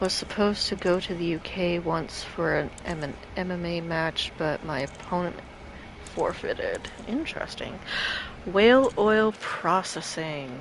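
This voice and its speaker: There is noticeable background noise as a woman talks at a fairly slow pace. Her pitch is medium, with ordinary variation. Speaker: video game streamer. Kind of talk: live stream gameplay with reading game text aloud. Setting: live stream.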